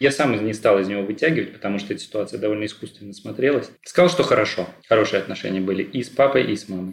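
Very fast speech comes from a man. His voice sits fairly low and varies in pitch in an ordinary way. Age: 30s. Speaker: therapy client. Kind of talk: therapy session. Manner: halting, many fillers.

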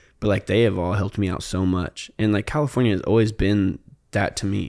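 An ordinary speaking voice from a man, fairly low in pitch with ordinary pitch variation, at a fairly quick pace, in a very clean recording with a silent background. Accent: American. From Indiana, US Midwest. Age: 20s. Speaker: photographer. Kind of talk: casual chat. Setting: studio.

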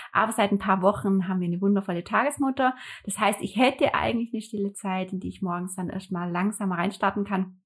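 A woman speaks very fast in a somewhat breathy, medium-pitched voice with ordinary pitch variation, on a very clean recording with a silent background. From northern Germany, Hamburg area. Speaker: calligraphy artist and entrepreneur. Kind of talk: casual interview conversation. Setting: living room.

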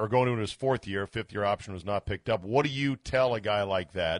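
Speaking with an unremarkable speaking voice at a fairly quick pace, a man has a fairly low pitch and ordinary pitch variation. The sound is dry and close with no echo, and the background is quiet. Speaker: sports radio host. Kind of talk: sports radio talk show. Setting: radio studio.

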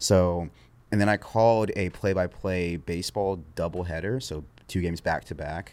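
In a very clean recording with a silent background, a man talks at a moderate pace. His voice is very deep and low, with fairly even intonation. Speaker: sports content creator. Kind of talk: casual interview chat. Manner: even-keeled, monotone, rarely raises voice; laid-back.

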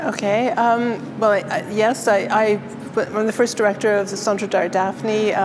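A woman with a fairly high voice speaks at a fairly slow pace, her intonation fairly even and her loudness very even, over noticeable background noise. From Ontario, Canada (Peterborough). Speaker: art curator and gallery director. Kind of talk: interview. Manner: halting, many repetitions.

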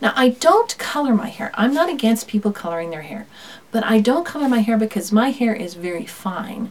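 A woman's intonation rises and falls in a lively way while noticeable noise fills the background. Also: fairly high pitch for a woman, fairly quick pace. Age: 50s. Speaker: podcast host and homeschooling mom. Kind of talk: casual talk to listeners. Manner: laughs often.

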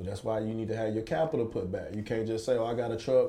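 In an East Texas accent, a man talks at a medium pitch. His tone is dark and mellow. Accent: Southern US, East Texas. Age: 30s. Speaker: former pro football player and entrepreneur. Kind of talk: casual interview chat.

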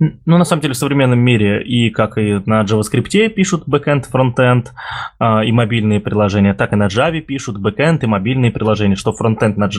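Using an ordinary speaking voice, a man talks at a fairly quick pace with medium pitch, ordinary pitch variation and very even loudness. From Russia, Ulyanovsk. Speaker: podcast host, IT community organizer. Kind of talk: casual chat. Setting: remote recording, virtual studio.

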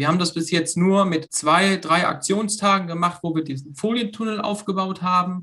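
A man talks in a high-pitched voice. His intonation stays fairly even. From Germany, Lower Rhine (Meerbusch). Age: 30s. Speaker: hobby farmer, association founder. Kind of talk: casual interview.

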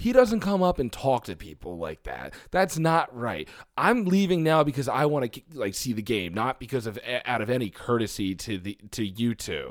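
In a very clean recording with a silent background, a man with a Philadelphia accent speaks at a moderate pace and medium pitch, with very wide pitch swings and hardly any pauses. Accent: Philadelphia-area (Delco) American. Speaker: podcast co-host. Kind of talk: casual chat.

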